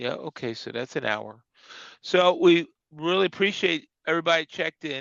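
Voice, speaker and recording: With vocal fry and big swings in loudness, a man talks at a fairly high pitch, using lively intonation at a moderate pace. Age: 60s. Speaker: skating coach and show co-host. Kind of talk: casual chat. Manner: halting.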